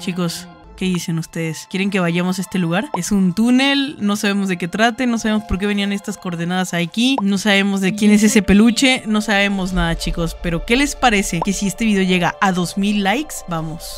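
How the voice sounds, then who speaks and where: At a fairly quick pace with hardly any pauses, the voice plays over faint music in the background. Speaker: content creator. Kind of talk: casual vlog chat. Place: home room. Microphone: studio mic.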